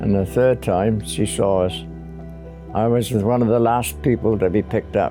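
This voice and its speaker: Music is heard in the background. A man talks at a fairly slow pace. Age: 80s+. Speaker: war veteran. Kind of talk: testimony.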